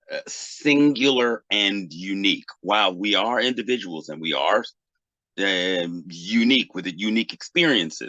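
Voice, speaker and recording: This speaker has a bright, sharp tone and lively intonation, with an American accent and a fairly slow pace. The sound is dry and close, with no echo. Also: man, fairly low pitch for a man. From US Northeast, Boston. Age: 50s. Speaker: technology professional and Pan-Africanist thinker. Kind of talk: interview. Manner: halting, many fillers.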